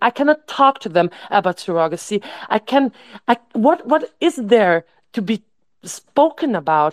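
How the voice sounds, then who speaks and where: A woman speaks with a fairly high pitch and very wide pitch swings. The sound is dry and close, with no echo. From Austria. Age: 30s. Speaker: event organizer, activist. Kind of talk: online group discussion.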